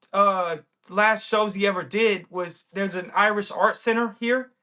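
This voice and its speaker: With an American accent, a man uses a raised, projected voice that is high, bright and sharp, animated in tone with ordinary pitch variation. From USA. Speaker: rapper and podcaster. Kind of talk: casual chat.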